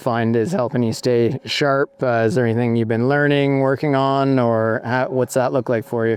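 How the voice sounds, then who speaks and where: A man with a normal speaking voice talks at medium pitch with fairly even intonation. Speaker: interviewer, show host. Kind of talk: interview questions. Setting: outdoors.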